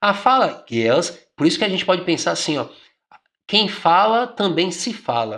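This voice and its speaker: A man with a Bahian accent speaks at a moderate pace in a high pitch, his bright, sharp tone swinging very widely up and down over a very clean recording with a silent background. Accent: Bahian Brazilian Portuguese. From Brazil, Bahia. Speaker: exam prep teacher. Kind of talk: exam question tutorial. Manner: conversational, informal.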